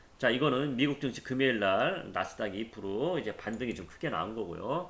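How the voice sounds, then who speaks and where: Lively intonation at a fairly quick pace. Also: man, medium pitch for a man. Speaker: stock market YouTuber. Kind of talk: market commentary. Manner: fast.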